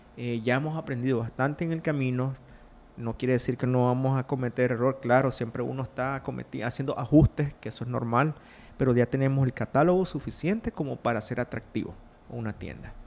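Moving at a fairly quick pace, a man with a Nicaraguan accent talks at a medium pitch with fairly even intonation. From Nicaragua, Rivas (south). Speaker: entrepreneur, liquor and chocolate producer. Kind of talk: interview.

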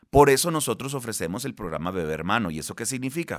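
A man's medium-pitched voice with very wide pitch swings, vocal fry and a fairly quick pace, on a very clean recording with a silent background. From Mexico, Baja California Sur. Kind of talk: interview.

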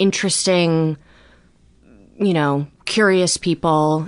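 A woman with an American accent, fairly low in pitch, at a very slow pace with fairly even intonation. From US Midwest, Chicago. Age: 30s. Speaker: writer and comedian. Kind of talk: personal testimony in interview.

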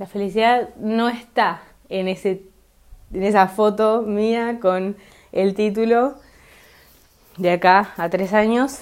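A woman at a very slow pace with long, frequent pauses and fairly even intonation, on a very clean recording with a silent background. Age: 20s. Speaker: podcaster. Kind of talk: solo monologue podcast. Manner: halting, many fillers.

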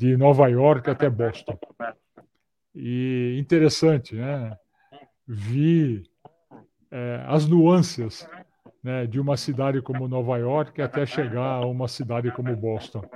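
With a medium pitch and fairly even intonation, a man talks very slowly, leaving long, frequent pauses. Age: 60s. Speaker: professor, maintenance management expert. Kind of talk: casual chat. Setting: video call. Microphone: clear audio despite poor video.

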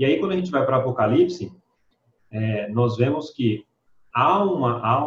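With a normal speaking voice, a man talks at a moderate pace and medium pitch, using ordinary pitch variation. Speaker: Bible study participant. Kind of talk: Bible study discussion.

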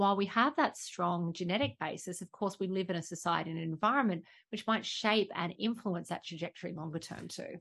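With an Australian accent, a woman talks at a fairly quick pace with hardly any pauses, her medium pitch showing ordinary variation over a quiet background. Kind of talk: interview.

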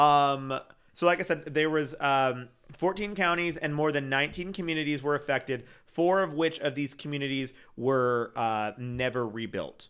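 On a very clean recording with a silent background, a man talks in a normal speaking voice at a moderate pace, fairly high in pitch with ordinary pitch variation. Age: 30s. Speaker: podcast co-host. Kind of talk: casual chat.

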